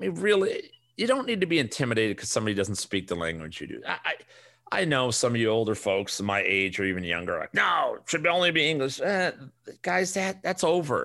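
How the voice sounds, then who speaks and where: On a very clean recording with a silent background, a man with a Chicago accent talks very fast in a fairly high, bright, sharp voice with vocal fry and very wide pitch swings. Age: 40s. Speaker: fantasy sports podcast host. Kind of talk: casual solo podcast monologue. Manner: animated.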